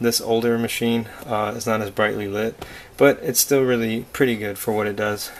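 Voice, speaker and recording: Noticeable background noise sits behind the speaker. A man speaks at medium pitch with monotone, flat intonation. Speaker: artist reviewing a drawing tablet. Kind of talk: product review tutorial. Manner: hesitant, many fillers.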